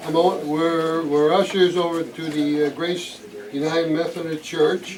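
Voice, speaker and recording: A man talks at a fairly slow pace in a fairly high, monotone voice with flat intonation. Noticeable background noise sits behind him. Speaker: retired school employee. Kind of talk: casual self-introduction at a club meeting. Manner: halting, many uh fillers.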